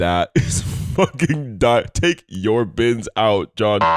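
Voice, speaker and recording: Music plays in the background of a dry, close sound with no echo, and the voice shows ordinary pitch variation. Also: man. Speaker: podcast co-host. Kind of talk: casual chat. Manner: animated.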